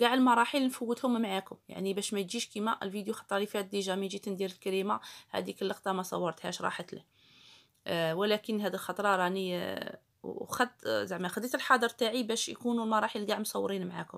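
A woman with an Algerian accent and fairly even intonation. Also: fairly quick pace, quiet background. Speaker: cooking YouTuber. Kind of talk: tutorial. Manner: casual. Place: kitchen. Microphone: phone near.

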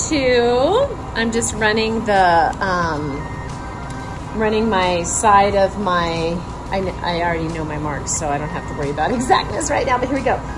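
With music playing in the background, a woman speaks at a fairly slow pace. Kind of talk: casual tutorial vlog. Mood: upbeat and cheerful. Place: workshop. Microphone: phone near.

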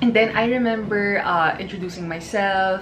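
A woman at a fairly slow pace, with ordinary pitch variation and light background noise. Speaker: sports courtside reporter. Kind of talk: casual vlog chat, Q&A.

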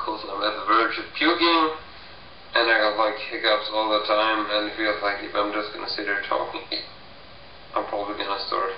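Moderate pace with long, frequent pauses, ordinary pitch variation, light background noise and audible room echo. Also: man, fairly low pitch for a man. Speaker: vlogger. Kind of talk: casual vlog chat. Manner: nauseous, slurred drunken voice. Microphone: webcam.

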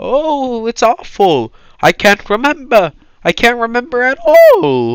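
A man puts on a character voice, pitched extremely high and delivered at a fairly slow pace. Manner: lost, sad, depressed.

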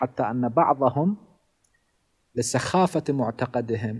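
With a dark, mellow tone and lively intonation, a man speaks over a quiet background. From Iraq, Karbala; Iraq. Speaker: Shia cleric and religious teacher; religious teacher. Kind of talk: religious lecture. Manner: formal. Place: home room. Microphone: studio mic.

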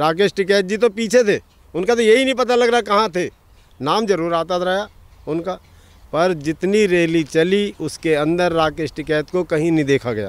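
A man with a high pitch speaks at a fairly slow pace with lively intonation, the sound dry with no echo. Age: 70s. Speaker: farmer. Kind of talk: street interview. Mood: firm, critical political opinion. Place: farm. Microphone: handheld.

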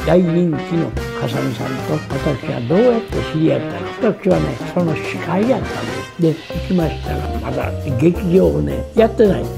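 Over noticeable background noise, a man speaks with a Kansai accent at a moderate pace. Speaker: radio personality. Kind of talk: anecdotal storytelling.

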